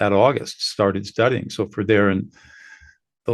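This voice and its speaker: A man's fairly low-pitched voice with vocal fry and fairly even intonation, against a quiet background. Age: 70s. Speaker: mediator and former trial lawyer. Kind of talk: podcast interview.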